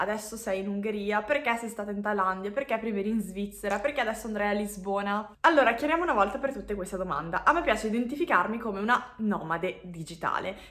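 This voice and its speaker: Through noticeable background noise, a woman talks at a fairly quick pace with lively intonation and hardly any pauses. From Switzerland. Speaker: personal growth coach. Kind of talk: casual vlog monologue.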